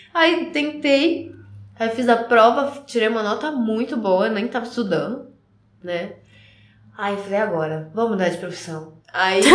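Speaking at a fairly slow pace with long, frequent pauses, a woman's fairly high voice makes very wide pitch swings. Audible room echo surrounds her. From São Paulo state, Carapicuíba. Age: 20s. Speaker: professional ballet dancer. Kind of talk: casual interview.

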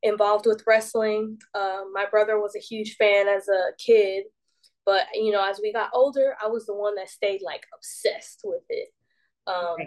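With an American accent, a woman of medium pitch uses fairly even intonation in an unremarkable speaking voice. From US South, Decatur, Georgia. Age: 20s. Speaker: professional wrestler. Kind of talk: casual interview.

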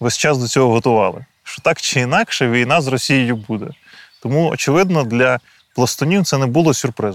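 A normal speaking voice from a man, medium in pitch, with ordinary pitch variation and a fairly quick pace. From Ukraine, Kyiv region (Boiarka). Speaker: soldier and political scientist. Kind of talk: interview. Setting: outdoors in a forest trench position.

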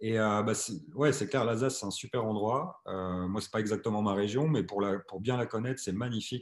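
A man speaks in a plain, everyday voice, fairly low in pitch. He talks at a fairly quick pace with ordinary pitch variation. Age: 40s. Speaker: podcast host. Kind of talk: casual interview.

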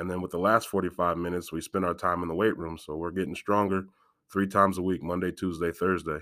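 In a Midwestern American accent, a man talks very fast with a very deep, low pitch, a bright, sharp tone and monotone, flat intonation. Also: very clean recording, silent background. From Galesburg, Illinois, US Midwest. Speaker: high school football coach and school security staff. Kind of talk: casual interview.

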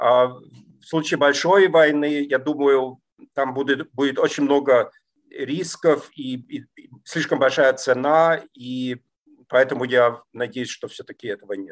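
The pace is very slow, with ordinary pitch variation. Loudness swings widely throughout. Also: man, fairly high pitch for a man. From East Germany. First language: German (speaking Russian). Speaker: political scientist. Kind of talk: interview. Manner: halting, many fillers.

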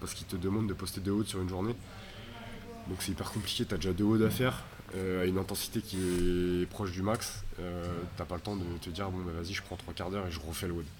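A man with a very deep, low pitch talks very fast in fairly even intonation. Noticeable background noise and audible room echo surround his voice. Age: 20s. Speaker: CrossFit athlete. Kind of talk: casual interview. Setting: CrossFit gym.

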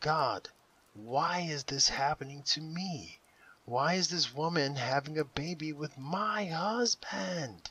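A man's shrill, whispering, put-on character voice at a fairly slow pace. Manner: near whisper turning into a gut-wrenching shriek.

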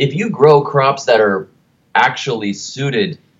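This man has an American accent and a fairly high pitch. His voice shows vocal fry and very wide pitch swings. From United States. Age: 30s. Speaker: garden writer and author. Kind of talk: casual interview.

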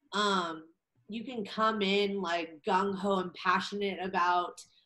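With a Californian accent, a woman speaks at a medium pitch with fairly even intonation. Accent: Californian American English. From Southern California, Orange County. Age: 20s. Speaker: academic advisor for college athletes. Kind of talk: podcast interview.

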